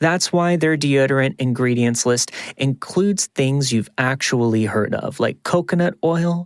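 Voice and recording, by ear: The speaker reads aloud in a natural voice.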